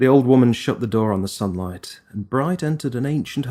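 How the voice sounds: The voice heard here is a natural reading voice.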